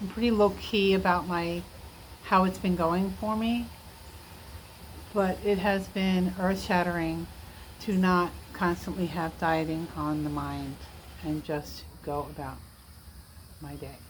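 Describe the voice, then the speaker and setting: Fairly slow, relaxed speech with long, frequent pauses and audible room echo. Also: woman. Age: 60s. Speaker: vlogger documenting weight loss. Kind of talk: casual personal update vlog. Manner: relaxed, frequent fillers and hesitations.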